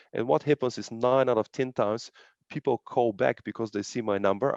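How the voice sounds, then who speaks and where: A man with a non-native accent speaks at a very fast pace, his medium pitch showing ordinary variation. The sound is dry and close with no echo over a quiet background. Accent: non-native foreign. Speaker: real estate agent. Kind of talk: casual interview on video call. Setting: video call.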